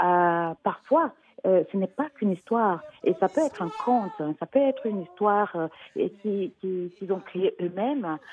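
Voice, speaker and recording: Speaking fairly slowly, a woman is heard. Her intonation stays lively. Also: medium pitch for a woman. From Cameroon, raised in Switzerland. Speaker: children's author and storyteller. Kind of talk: interview answer. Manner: hesitant, many fillers.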